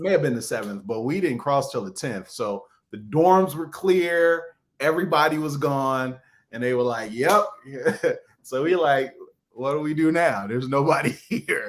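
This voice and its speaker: A man with a Chicago accent speaks at a moderate pace in a fairly high voice with lively intonation. The recording is very clean with a silent background. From Chicago, South Side. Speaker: author, speaker and actor. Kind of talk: interview answer. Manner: casual, conversational.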